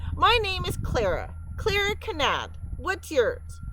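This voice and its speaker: A woman's put-on character voice, squeaky and extremely high-pitched, at a fairly slow pace over clear background noise. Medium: read story.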